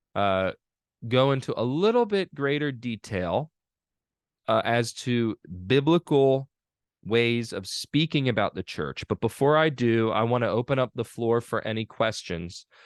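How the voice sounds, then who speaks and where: Over a quiet background, a man with a northern US accent speaks at a fairly slow pace and medium pitch, with ordinary pitch variation and a dry, close sound with no echo. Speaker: pastor teaching a seminary course. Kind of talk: online lecture. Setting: video call.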